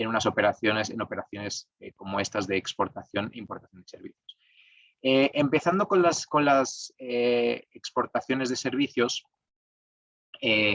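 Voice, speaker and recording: A man speaks at a medium pitch and a moderate pace with a Spanish accent and ordinary pitch variation. The sound is dry and close with no echo, and his loudness swings widely. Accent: Spanish (Spain) accent, still kept. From Spain. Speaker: tax lawyer. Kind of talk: webinar talk. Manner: hesitant, many fillers.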